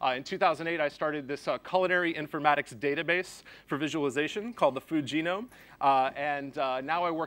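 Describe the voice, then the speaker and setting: The recording is very clean with a silent background as a man speaks at a fairly quick pace, with a fairly high pitch and ordinary pitch variation. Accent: American. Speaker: conference speaker, chef and software developer. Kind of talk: conference talk. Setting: stage with audience. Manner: fast.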